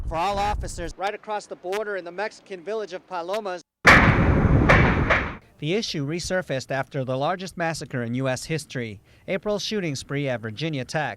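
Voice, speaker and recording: A man talks in a raised, projected voice with lively intonation. Noticeable background noise runs behind him. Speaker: TV news reporter. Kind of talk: TV news report.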